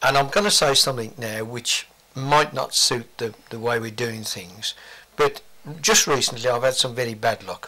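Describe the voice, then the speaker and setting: With a bright, sharp tone, a man speaks at a moderate pace in a medium pitch and ordinary pitch variation. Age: 60s. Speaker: veteran cycle collector. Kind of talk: interview.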